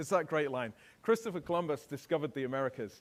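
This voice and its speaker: A man with a British accent talks in an animated tone at a fairly high pitch, with ordinary pitch variation. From England. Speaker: keynote speaker. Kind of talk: keynote talk.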